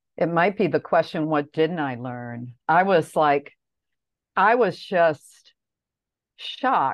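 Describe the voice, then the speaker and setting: Speaking very slowly with long, frequent pauses, a woman with a Midwestern American accent uses a very deep, low pitch and lively intonation, recorded with a dry, close sound with no echo over a quiet background. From US Midwest, Detroit area. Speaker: language teacher and poet. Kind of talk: interview.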